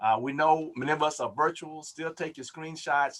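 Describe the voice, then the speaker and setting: This is a man talking. His pace is fairly quick. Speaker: Baptist preacher hosting health webinar. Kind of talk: webinar announcements. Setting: Zoom webinar livestream. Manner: fast.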